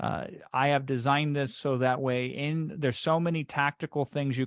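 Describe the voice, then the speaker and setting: The background is quiet. The sound is dry and close, with no echo. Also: man. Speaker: online course creator. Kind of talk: webinar sales pitch. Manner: fast; animated.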